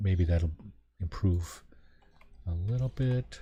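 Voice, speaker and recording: Somewhat breathy and fairly slow, a man speaks in a dark, mellow tone with ordinary pitch variation. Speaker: video game streamer. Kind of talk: live gameplay commentary. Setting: live stream. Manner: soft-spoken. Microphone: quiet, low volume.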